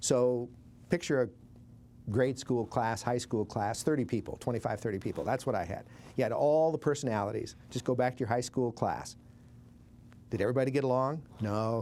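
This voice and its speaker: A man's medium-pitched voice with a Montana accent, dark and mellow in tone, at a moderate pace with ordinary pitch variation. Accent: Northern US (Montana). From Billings, Montana. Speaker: war veteran, former army medic. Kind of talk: interview answer.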